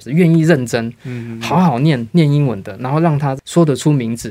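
Talking at a fairly quick pace, a man has a medium-pitched, dark, mellow tone with ordinary pitch variation. The recording is very clean, with a silent background. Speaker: English teacher. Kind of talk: interview.

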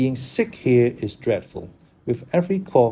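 At a moderate pace, a man with a medium pitch speaks in a dark, mellow, somewhat breathy tone with lively intonation. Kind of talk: literary audiobook reading of a diary, with vocabulary explanations.

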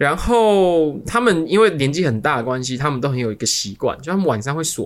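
A man with a Taiwanese accent speaks at a fairly quick pace. His fairly high pitch moves in very wide swings. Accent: Taiwanese Mandarin. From Taiwan, Kaohsiung. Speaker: podcast co-host. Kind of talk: casual chat.

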